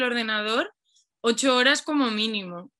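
In a bright, sharp tone, a woman speaks at a fairly high pitch. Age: 20s. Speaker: poet and advertising copywriter. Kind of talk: casual chat.

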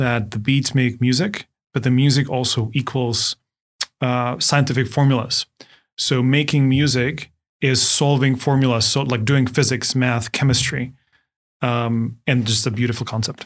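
With a Czech accent, a man speaks at a moderate pace and medium pitch, using monotone, flat intonation and very even loudness. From Czech Republic, Ostrava. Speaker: startup CEO. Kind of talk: interview.

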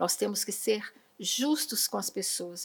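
An unremarkable speaking voice, a woman's at medium pitch, moves at a fairly slow pace. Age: 60s. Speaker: retired school principal, educator. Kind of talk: podcast interview. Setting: studio.

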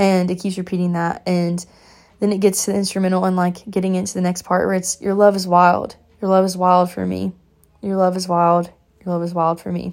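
Speaking at a fairly quick pace, a woman uses a medium-pitched voice. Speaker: faith podcast host. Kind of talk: devotional monologue. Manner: fast; animated.

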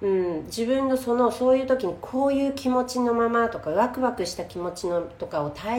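A woman at a fairly high pitch with lively intonation and a moderate pace, over noticeable background noise. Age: 40s. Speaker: podcast host and Instagram live streamer. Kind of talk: casual live-stream talk. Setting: Instagram live stream recorded as podcast.

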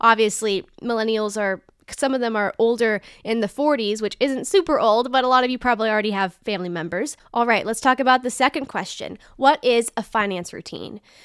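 Speaking at a fairly quick pace with ordinary pitch variation, this is a plain, everyday voice on a very clean recording with a silent background. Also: woman, fairly high pitch for a woman. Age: 20s. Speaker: financial advisor and podcast host. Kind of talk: casual educational talk. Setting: video podcast recording. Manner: upbeat.

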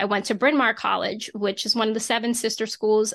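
In a very clean recording with a silent background, a woman with an American accent and a fairly high pitch talks at a very fast pace. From Reading, Pennsylvania, US. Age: 30s. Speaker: attorney and coach. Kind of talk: interview conversation.

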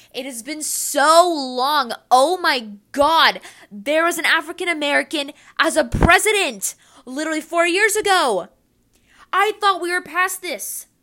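At a fairly slow pace, a woman speaks in a raised, projected voice pitched extremely high, bright and sharp in tone. She sounds animated, with lively intonation and big swings in loudness. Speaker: solo podcaster. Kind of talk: personal opinion monologue.

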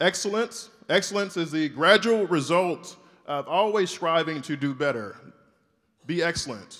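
In an American accent, the speaker moves at a fairly slow pace with lively intonation. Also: man, high pitch for a man. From US South, Shreveport, Louisiana. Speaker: orthopedic spine surgeon. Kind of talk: keynote speech. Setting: stage with audience.

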